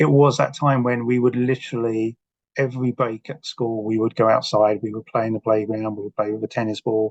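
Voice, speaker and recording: A man speaks at a fairly quick pace with fairly even intonation. The sound is dry and close, with no echo. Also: medium pitch for a man. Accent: English. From South London, England. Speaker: author. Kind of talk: podcast interview.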